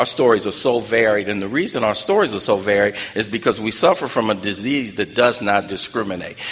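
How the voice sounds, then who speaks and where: A man talking at a fairly quick pace and fairly low pitch amid noticeable background noise. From South Central Los Angeles (Watts). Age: 60s. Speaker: recovery speaker. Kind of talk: testimony.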